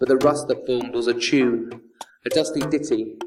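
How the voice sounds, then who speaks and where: A man with a fairly high pitch talks at a fairly quick pace while music plays in the background. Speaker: spoken word poet. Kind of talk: spoken word poetry performance.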